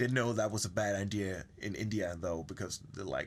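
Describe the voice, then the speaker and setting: This man speaks with a Danish accent at a fairly quick pace. His pitch is fairly low and his intonation fairly even. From Denmark. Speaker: podcast guest. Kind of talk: casual chat.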